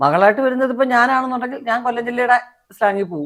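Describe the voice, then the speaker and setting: A woman's fairly high voice with lively intonation, a normal speaking voice. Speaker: film actress. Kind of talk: interview answer.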